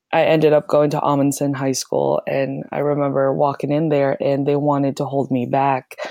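Against noticeable background noise, a woman with a very deep, low pitch speaks in a flat monotone at a moderate pace with hardly any pauses. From Philippines (Manila and Laguna). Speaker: photographer and festival organizer. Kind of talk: casual interview.

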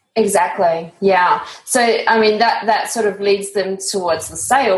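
Amid noticeable background noise, a woman of medium pitch speaks with fairly even intonation. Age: 30s. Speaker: podcast host. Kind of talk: scripted intro; interview.

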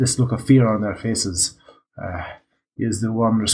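Over a quiet background, the reading voice sounds unforced, its intonation fairly even.

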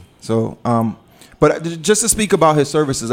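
Moderately paced speech from a man

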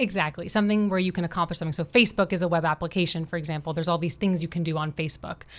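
Very fast speech with an American accent, fairly even intonation and hardly any pauses. The recording is very clean, with a silent background. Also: woman, fairly low pitch for a woman. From Florida. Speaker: bootcamp general manager. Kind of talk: radio interview.

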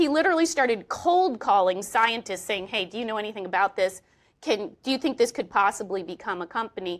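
On a very clean recording with a silent background, a woman with an American accent talks at a fairly quick pace in a fairly high pitch with lively intonation. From Oklahoma. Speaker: historian and author. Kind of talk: interview before live audience. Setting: stage with audience. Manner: halting.

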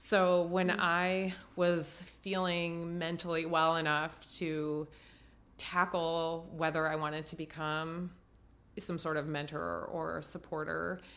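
A woman's fairly low, monotone voice in a US Midwestern accent, very slow, with audible room echo. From Ohio, US Midwest. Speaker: marathon runner and cancer survivor. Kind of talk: casual interview.

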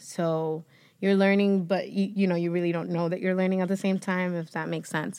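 On a very clean recording with a silent background, a woman with a Spanish accent speaks at a fairly quick pace in a medium pitch with fairly even intonation. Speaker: podcast host and actress. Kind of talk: casual interview chat.

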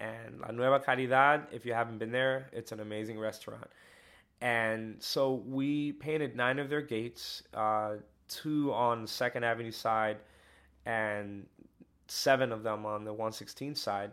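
A man with an American accent and an unremarkable speaking voice talks fairly slowly at a medium pitch with fairly even intonation, in a very clean recording with a silent background. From New York City, the Bronx. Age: 30s. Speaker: artist and social worker. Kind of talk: interview.

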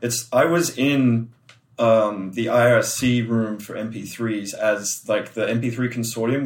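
This speaker has an Australian accent and fairly even intonation. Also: man. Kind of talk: casual interview chat.

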